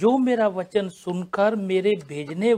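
A man is talking here. Pitch variation in his voice is ordinary. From India. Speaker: pastor. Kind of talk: religious panel discussion.

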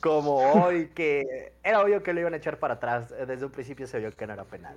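With a Mexican accent, a man speaks at a moderate pace. His pitch swings very widely. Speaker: sports podcast co-host. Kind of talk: casual chat.

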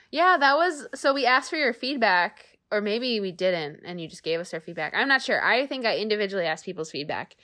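Hardly pausing, a woman talks at a fairly quick pace in a fairly high voice, with very wide pitch swings and big swings in loudness. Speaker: podcast host. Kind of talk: casual chat. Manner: soft-spoken.

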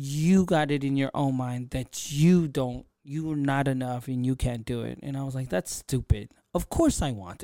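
Recorded very clean with a silent background and a dry, close sound with no echo, a man speaks at a fairly high pitch with a dark, mellow tone, ordinary pitch variation and hardly any pauses. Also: moderate pace. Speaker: podcast host and content creator. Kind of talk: casual solo monologue. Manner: unscripted, off the cuff.

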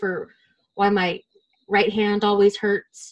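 In an American accent, a woman with a normal speaking voice talks at a moderate pace and a fairly high pitch. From US. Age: 20s. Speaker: podcast co-host. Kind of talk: casual interview chat.

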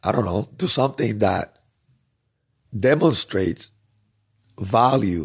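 With long, frequent pauses, a man speaks at a fairly slow pace in a fairly low, somewhat breathy voice with lively intonation, on a very clean recording with a silent background. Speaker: podcast host. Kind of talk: solo podcast monologue.

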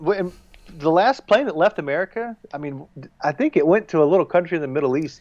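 In a Southern US accent, a man talks very fast with a high pitch and lively intonation. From US South. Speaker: war veteran. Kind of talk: casual chat.

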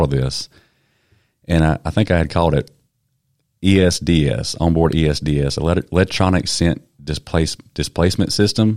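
In a Southern US accent, a man speaks with a very deep, low pitch and a dark, mellow tone. His pitch varies in an ordinary way. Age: 30s. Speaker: podcast host. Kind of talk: casual interview. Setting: studio.

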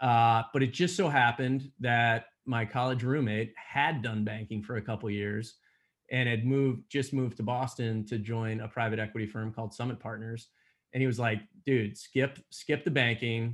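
A man has an unremarkable speaking voice in a medium pitch. He talks at a moderate pace with fairly even intonation. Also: quiet background. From Pennsylvania (Allentown). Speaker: growth equity investor. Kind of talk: interview.

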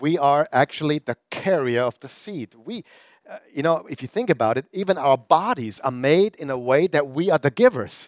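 With a German accent, a man with a fairly high pitch speaks at a moderate pace, his intonation lively and his loudness swinging widely. The sound is dry and close, with no echo. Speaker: pastor. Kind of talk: sermon. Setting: church with live audience, also streamed online.

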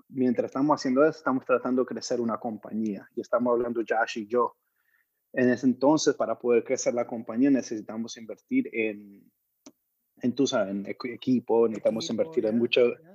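With an unremarkable speaking voice, a man of medium pitch talks at a fairly quick pace in fairly even intonation. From Colombia, Medellín. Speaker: music video producer. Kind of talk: interview.

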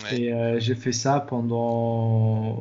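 There is audible room echo as a man speaks in a medium pitch. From Morocco, Agadir. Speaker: software developer and fitness coach. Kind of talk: interview.

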